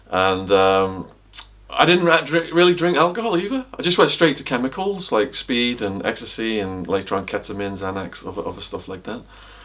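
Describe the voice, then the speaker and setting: A man speaks at a fairly quick pace in a medium pitch, his voice swinging very widely up and down. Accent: English. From northern England, Widnes (Cheshire, near Liverpool). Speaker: author and former drug trafficker. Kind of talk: casual interview. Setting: at his house.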